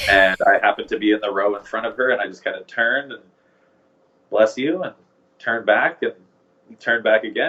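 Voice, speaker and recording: With a western Canadian accent, a man speaks at a fairly quick pace, using long, frequent pauses and big swings in loudness. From Canada, Vancouver, British Columbia. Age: 20s. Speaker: groom being interviewed. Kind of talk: casual interview chat. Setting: podcast.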